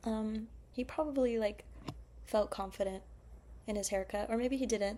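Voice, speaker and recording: A soft-spoken woman with an American accent. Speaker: vlogger. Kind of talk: casual monologue. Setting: at home at midnight. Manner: quiet, soft-spoken; sleepy, calm.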